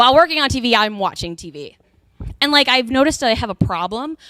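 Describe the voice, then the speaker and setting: Her tone is animated, with a fairly high pitch. The woman moves at a fairly quick pace. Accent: American. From Texas. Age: 30s. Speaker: comedian. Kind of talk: stand-up. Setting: stage with audience.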